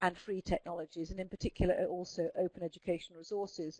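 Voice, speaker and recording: A woman with a southern English accent, in a dry, close sound without echo. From Scotland. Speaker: speech therapist presenting a webinar. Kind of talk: webinar presentation. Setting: online webinar. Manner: clear enunciation.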